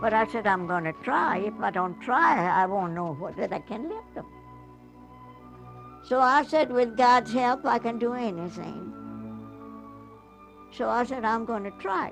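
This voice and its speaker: With music in the background, a woman speaks at a fairly slow pace in a fairly high pitch, her intonation lively and her pauses long and frequent. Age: 80s+. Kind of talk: interview answer.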